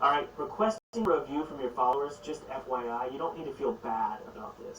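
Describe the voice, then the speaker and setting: Behind the speaker lies noticeable background noise. The man moves along at a fairly quick pace. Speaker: game development YouTuber. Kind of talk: tutorial. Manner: fast.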